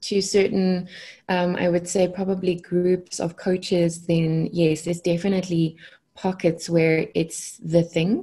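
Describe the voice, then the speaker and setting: Fairly slow and somewhat breathy, a woman with a South African accent speaks in a fairly low, dark, mellow voice with monotone, flat intonation against a quiet background. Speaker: consciousness coach. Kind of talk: podcast interview answer. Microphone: earbuds.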